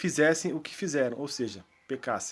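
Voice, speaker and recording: Male speech in a very clean recording, the background silent. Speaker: Bible study teacher. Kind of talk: Bible study lesson. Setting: at home.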